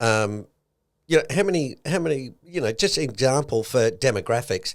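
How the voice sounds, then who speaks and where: A man talks with an Australian accent. His intonation is lively. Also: very clean recording, silent background. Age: 60s. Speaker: podcast co-host, investment commentator. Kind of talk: casual podcast chat.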